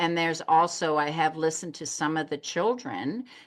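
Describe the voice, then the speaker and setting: A woman with a very deep, low pitch talks at a moderate pace over a quiet background. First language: German. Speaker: psychotherapist. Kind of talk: interview conversation.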